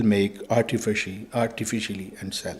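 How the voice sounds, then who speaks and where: A man speaks with a Pakistani accent. His tone is dark and mellow. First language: Urdu and Punjabi. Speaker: religious speaker. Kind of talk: speech. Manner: formal.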